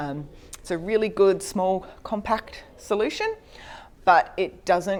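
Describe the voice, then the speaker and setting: In an Australian accent, a woman talks at a fairly slow pace. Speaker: conference speaker on data. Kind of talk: technical presentation.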